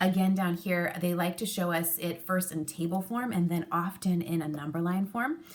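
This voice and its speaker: A woman with a fairly low, somewhat breathy voice speaks at a moderate pace. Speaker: elementary school teacher. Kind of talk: tutorial.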